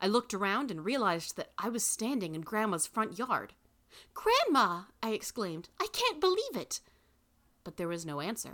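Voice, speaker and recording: Here a woman speaks with a fairly high pitch and a bright, sharp tone at a moderate pace. Her delivery is animated and theatrical, with very wide pitch swings. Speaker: podcast host and narrator. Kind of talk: dramatic narration of a story, reading aloud with character voices. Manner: animated, theatrical.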